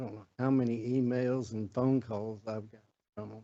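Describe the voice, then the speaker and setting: Speaking in a Southern US accent, a man keeps a medium pitch and a dark, mellow tone with a monotone, flat intonation. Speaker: city staff official. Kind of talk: public meeting presentation. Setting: city council meeting. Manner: halting, many fillers.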